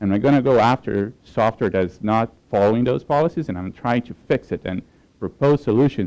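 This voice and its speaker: Lively intonation and a dark, mellow tone mark this man's medium-pitched voice with a Portuguese accent. He moves at a fairly quick pace in a dry, close sound with no echo. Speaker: application security professional. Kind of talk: conference talk. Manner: hesitant, with filler words.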